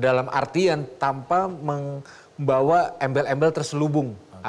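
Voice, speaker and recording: A man is speaking at a fairly high pitch. The rise and fall of his voice is ordinary. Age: young. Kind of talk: talk show conversation. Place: studio.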